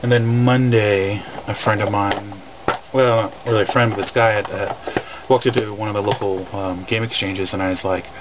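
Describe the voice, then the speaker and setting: A man's fairly low voice with fairly even intonation comes through noticeable background noise. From California. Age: 30s. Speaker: retro gaming vlogger. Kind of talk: casual vlog. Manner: fast; halting, many fillers.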